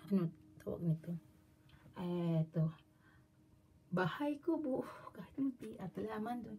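The speaker goes at a fairly slow pace with long, frequent pauses and very wide pitch swings. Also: woman, fairly low pitch for a woman, big swings in loudness. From Philippines. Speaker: vlogger. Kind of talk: product show-and-tell vlog. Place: home room. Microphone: phone near.

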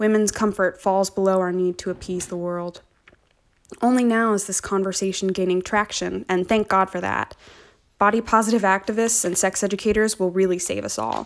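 A woman speaks in a plain, everyday voice at a medium pitch. Her intonation stays fairly even. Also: fairly quick pace. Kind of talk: spoken word performance.

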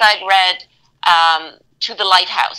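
With a quiet background behind her, a woman is talking. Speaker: guest. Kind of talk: interview answer.

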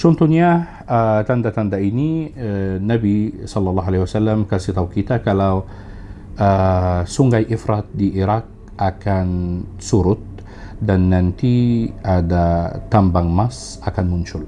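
A man's fairly low voice at a very slow pace, with ordinary pitch variation and light background noise. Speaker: tour operator. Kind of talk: casual interview. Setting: studio. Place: studio. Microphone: studio mic.

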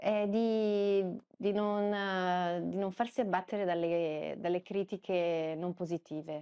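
A woman speaks at a very slow pace with hardly any pauses in a dark, mellow tone. Her intonation is fairly even, with a quiet background. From Veneto, province of Padua; Veneto. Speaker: journalist. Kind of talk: interview conversation. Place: office. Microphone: lapel.

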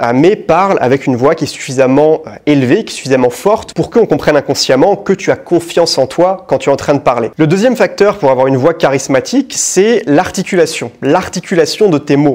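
Fairly high-pitched and slightly mellow, a man speaks at a fairly quick pace with lively intonation and few pauses.

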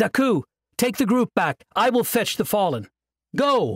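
Shouting in a put-on character voice at a fairly high pitch, the speaker keeps a moderate pace in a very clean recording with a silent background. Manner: shouting, commanding.

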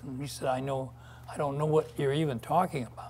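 A man speaks in a somewhat breathy voice. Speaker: invited lecture speaker. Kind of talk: lecture, personal storytelling. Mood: earnest, reflective. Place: stage. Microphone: podium.

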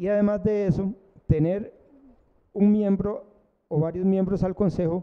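A man speaks at a fairly slow pace with a high pitch. His tone is dark and mellow. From Turrialba, Costa Rica; Costa Rica. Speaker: physician, university council candidate; council candidate. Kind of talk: campaign presentation at public forum. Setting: university centre hall, live-streamed. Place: hall. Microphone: handheld.

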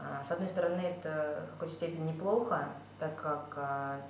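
A woman's fairly low voice with fairly even intonation, light background noise and audible room echo. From Kazakhstan. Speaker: course participant giving a testimonial. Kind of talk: testimonial monologue. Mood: calm, reflective. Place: home room. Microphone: webcam.

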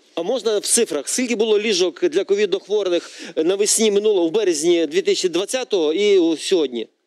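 At a moderate pace, a man with a high pitch and ordinary pitch variation talks against a quiet background, the sound dry with no echo. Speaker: member of parliament; talk show guest, politician. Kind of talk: TV political debate. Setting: TV studio. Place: studio. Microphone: lapel.

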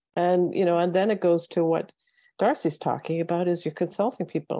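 Over a quiet background with dry sound and no echo, a woman speaks at a fairly quick pace with a fairly low pitch, a dark, mellow tone and ordinary pitch variation. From Northwest Territories, Canada. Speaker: former public servant, policy fellow; panel expert. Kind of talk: panel talk. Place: home room. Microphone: earbuds.

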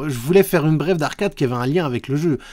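A man talks against a quiet background. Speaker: YouTuber. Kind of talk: video commentary. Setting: home recording, live-style setup. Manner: hesitant, many filler sounds. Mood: relaxed, amused. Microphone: studio mic.

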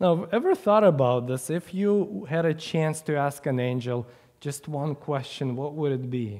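Over a quiet background, a man speaks at a moderate pace with a fairly high pitch. His tone is dark and mellow, with lively intonation. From Ukraine. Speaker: preacher. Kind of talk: sermon. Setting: church. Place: church.

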